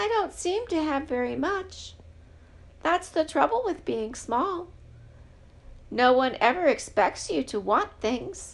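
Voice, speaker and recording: A woman's high put-on character voice, fairly slow, with long, frequent pauses. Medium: read story.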